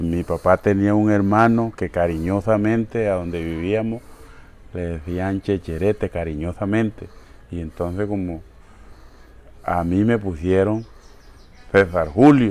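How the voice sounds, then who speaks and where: A man with a very deep, low voice speaks at a fairly slow pace. His pitch varies in an ordinary way, with long, frequent pauses. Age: 60s. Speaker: shoemaker. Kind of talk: interview. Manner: halting, repeats words.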